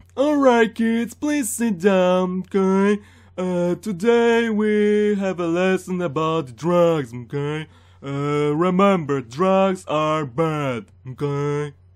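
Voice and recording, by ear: In a very clean recording with a silent background, a man uses a put-on character voice, high-pitched and very slow. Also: lively intonation.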